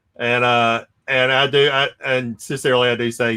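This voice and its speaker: A man with a Louisiana accent speaks at a medium pitch with monotone, flat intonation. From North Louisiana / southern Arkansas. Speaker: comic collector and channel host. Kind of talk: casual chat on a live stream.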